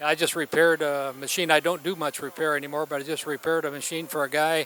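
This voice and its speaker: Over noticeable background noise, a man speaks fairly quickly at a fairly high pitch. The sound is dry and close, with no echo. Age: 70s. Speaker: TV show host, phonograph collector. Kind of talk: casual interview. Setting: convention trade show.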